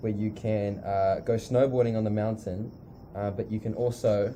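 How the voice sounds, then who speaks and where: In a dark, mellow tone, a man speaks at a moderate pace with a fairly low pitch and monotone, flat intonation. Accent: New Zealand. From New Zealand, South Island (near Christchurch). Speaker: missionary school leader. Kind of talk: casual interview. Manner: hesitant, many fillers.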